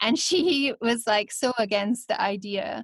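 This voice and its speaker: A woman is speaking. She has a Scottish accent. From Scotland. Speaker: voice actor. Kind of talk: podcast interview answer.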